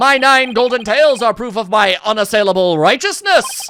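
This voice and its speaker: A booming, put-on character voice, female-sounding and fairly high for a woman, at a moderate pace over clear background noise. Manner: grandiose, heroic.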